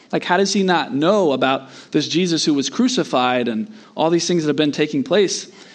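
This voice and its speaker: A man speaks with an American accent in a plain, everyday voice, his pitch fairly high and his pace fairly quick. His intonation is lively while his loudness stays very even. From US Southeast. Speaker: pastor. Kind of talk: sermon.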